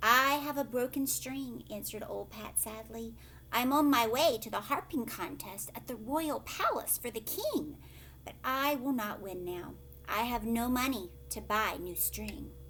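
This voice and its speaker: With big swings in loudness, a woman performs a put-on character voice at a moderate pace amid clear background noise. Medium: read story.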